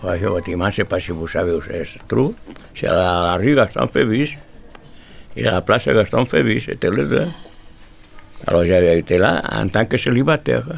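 A man speaks at a moderate pace with long, frequent pauses. His very deep, low pitch swings very widely, with vocal fry. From Spain. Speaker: immigrant telling memories. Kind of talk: reminiscence.

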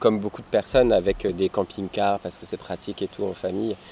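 A man's voice, fairly low in pitch. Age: 30s. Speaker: nomadic family father, traveller. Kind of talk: casual interview. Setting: outdoors by a river. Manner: halting, many repetitions.

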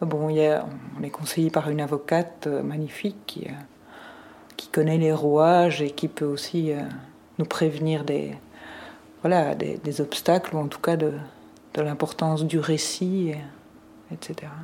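A woman with a very deep, low pitch talks at a very slow pace in a monotone, flat intonation, leaving long, frequent pauses. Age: 50s. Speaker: guardian of a minor. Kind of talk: recorded conversation.

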